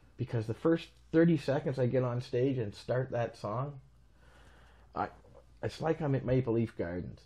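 A man's medium-pitched, somewhat breathy voice with an Ontario accent, dark and mellow in tone, with ordinary pitch variation and long, frequent pauses. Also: moderate pace. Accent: Canadian (Ontario). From Canada, Toronto. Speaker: keyboard player and musician; guest. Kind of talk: casual interview chat. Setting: in his home. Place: home room. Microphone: lapel.

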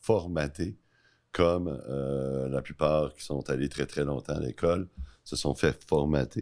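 The pace is very slow, with ordinary pitch variation. The background is quiet. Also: man. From Quebec. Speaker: podcast host. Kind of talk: casual interview. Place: studio. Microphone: studio mic.

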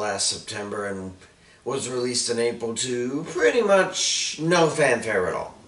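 A man talks at a fairly slow pace. Room echo can be heard around his voice. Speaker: wrestling commentator vlogger. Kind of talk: commentary. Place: home room.

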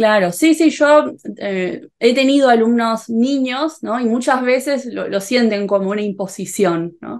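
A woman speaks in a Rioplatense accent at a fairly slow pace, with ordinary pitch variation. The background is quiet. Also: fairly high pitch for a woman. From Rioplatense region (Argentina/Uruguay). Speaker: Spanish teacher youtuber; interviewer, Spanish teacher. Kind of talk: interview. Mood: warm, friendly. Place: home room. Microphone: video call.

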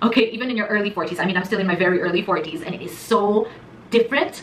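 A woman's very fast, animated speech with ordinary pitch variation and light background noise. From Asia. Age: 40s. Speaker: YouTuber. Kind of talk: casual vlog talk. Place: studio.

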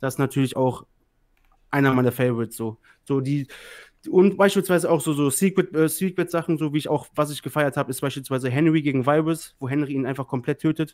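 A fairly high-pitched male voice, slightly mellow in tone, at a fairly quick pace with ordinary pitch variation

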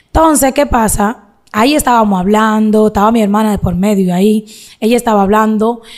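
Against a quiet background, a woman talks at a fairly quick pace, her intonation fairly even and her loudness very even. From Dominican Republic, Santiago; Dominican Republic. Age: 20s. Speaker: social media content creator. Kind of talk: interview, personal life story. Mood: earnest, sometimes aggrieved. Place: studio. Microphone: studio mic.

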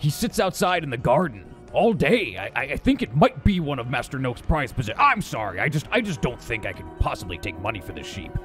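Over clear background music, a man does a put-on character voice at a fairly high pitch. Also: fairly quick pace. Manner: menacing but mock-polite.

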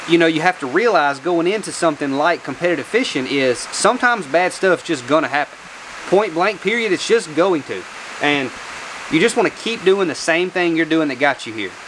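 A man's high-pitched voice at a fairly quick pace, with noticeable background noise. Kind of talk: casual vlog chat. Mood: reflective, earnest. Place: garage. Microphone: lapel.

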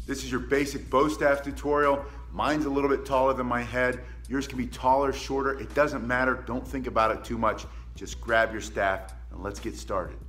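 A man keeps up a fairly quick speed while faint music plays in the background. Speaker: martial arts instructor. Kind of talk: tutorial. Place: gym. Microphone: phone near.

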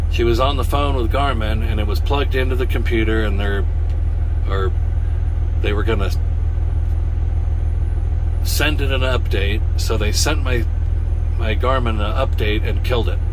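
A man speaks at a moderate pace in an extremely high pitch with ordinary pitch variation. Long, frequent pauses break his speech, and background noise is noticeable. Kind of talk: casual vlog chat. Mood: frustrated about faulty GPS. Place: car. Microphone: phone near.

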